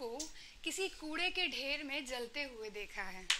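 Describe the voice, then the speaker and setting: Very slowly, a woman speaks in a raised, projected voice with a bright, sharp tone and lively intonation. Light background noise sits behind her. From Varanasi, India. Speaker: poet. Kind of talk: spoken word poetry performance. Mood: earnest, reflective social critique. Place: stage. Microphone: handheld.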